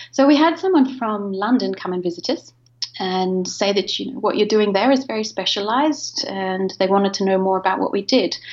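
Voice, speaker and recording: A woman's medium-pitched voice, lively in intonation and at a fairly quick pace, over noticeable background noise. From Australia. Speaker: drone company founder. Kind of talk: interview conversation.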